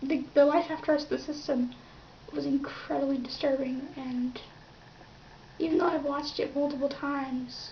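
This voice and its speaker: Soft-spoken and high-pitched, a woman talks at a moderate pace with fairly even intonation and long, frequent pauses over noticeable background noise. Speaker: YouTuber. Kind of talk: casual vlog commentary. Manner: halting.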